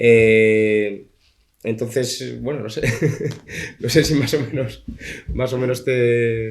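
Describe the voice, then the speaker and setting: A medium-pitched man at a very slow pace, monotone and flat, with long, frequent pauses and audible room echo. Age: young. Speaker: comic artist and author. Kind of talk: book presentation Q&A. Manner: halting, many fillers.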